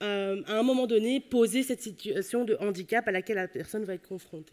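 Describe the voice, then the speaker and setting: A woman talks at a fairly quick pace with a Belgian accent. Her pitch is fairly high, with ordinary variation. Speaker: psychology professor. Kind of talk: conference talk.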